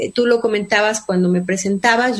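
A woman talks at a fairly quick pace with fairly even intonation, noticeable background noise behind her. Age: 50s. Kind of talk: interview.

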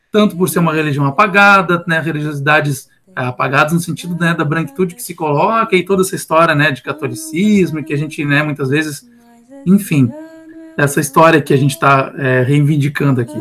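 A man talks at a fairly quick pace with a fairly high pitch. His tone is bright and sharp, with ordinary pitch variation. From Rio Grande city, southern Rio Grande do Sul, Brazil. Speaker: music teacher. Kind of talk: casual chat.

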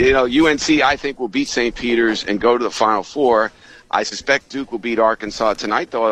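With an ordinary speaking voice, a man talks at a fairly quick pace, medium pitch and ordinary pitch variation. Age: 50s. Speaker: sportswriter and author. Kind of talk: radio interview about his book.

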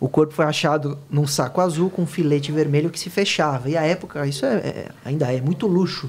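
The words come at a fairly quick pace with hardly any pauses. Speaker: lawyer specializing in cybercrime. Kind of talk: podcast interview.

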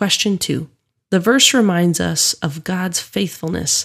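An ordinary speaking voice, moderately paced, ordinary pitch variation throughout. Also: woman. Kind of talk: guided prayer and devotional reflection prompts. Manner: calm, reverent, measured.

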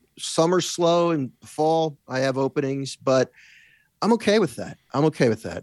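A man's fairly high voice, an unremarkable speaking voice, with ordinary pitch variation at a moderate pace, in a dry, close sound with no echo on a very clean recording with a silent background. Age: 60s. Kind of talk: casual chat.

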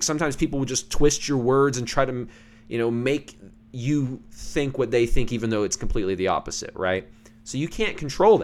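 An ordinary speaking voice moves at a fairly quick pace with lively intonation on a very clean recording with a silent background. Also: man. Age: 20s. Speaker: podcast host and musician. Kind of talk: solo monologue, casual commentary.

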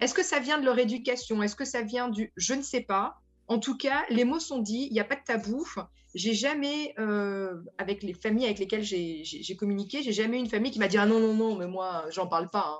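Her pitch fairly high, a woman with an ordinary speaking voice talks at a moderate pace with lively intonation. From France. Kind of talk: radio panel discussion.

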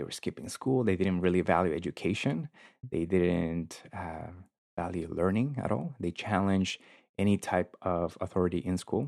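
In a Spanish accent, a man speaks at a moderate pace with a very deep, low pitch and a dry, close sound with no echo. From South Korea and Guatemala. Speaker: university accessibility advisor. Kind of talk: casual interview chat. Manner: friendly, enthusiastic.

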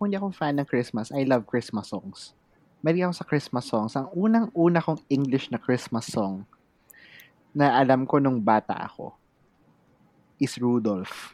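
A very clean recording sits on a silent background. The delivery keeps a moderate speed. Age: 30s. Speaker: podcast co-host. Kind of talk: casual chat.

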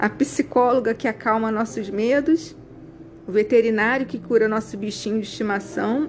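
Against noticeable background noise, a woman talks at a moderate pace in a fairly high pitch with ordinary pitch variation. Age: 50s. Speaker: fashion designer and style consultant. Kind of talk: reading aloud.

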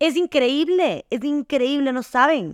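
On a very clean recording with a silent background, a woman's tone comes across as animated. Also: dry, close sound with no echo. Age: 20s. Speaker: podcast host. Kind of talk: casual monologue.

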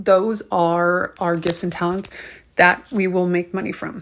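A woman's plain, everyday voice at medium pitch and a fairly slow pace, on a very clean recording with a silent background. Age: 30s. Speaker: podcast host. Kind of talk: motivational monologue.

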